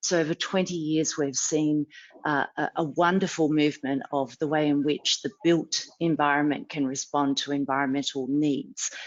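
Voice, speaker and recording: A woman speaks with an Australian accent at a moderate pace and very even loudness. Her pitch is very deep and low, with fairly even intonation. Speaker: sustainability advisor, panelist. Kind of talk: panel discussion.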